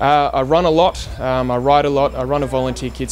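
A man talks at a fairly quick pace. Light background noise can be heard. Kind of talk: interview answer. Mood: calm, earnest. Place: street.

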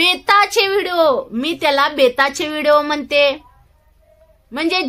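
Over a quiet background, a woman projects a raised voice with a bright, sharp tone and ordinary pitch variation. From rural Maharashtra. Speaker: social media creator. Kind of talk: vlog monologue. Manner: halting, repetitive. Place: home room. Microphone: phone near.

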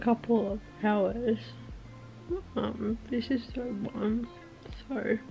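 A woman speaking at a very slow pace over faint music in the background. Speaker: vlogger. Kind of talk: casual vlog chat. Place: home room. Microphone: phone near.

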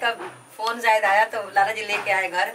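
This woman's tone is fairly bright. Her intonation stays fairly even.

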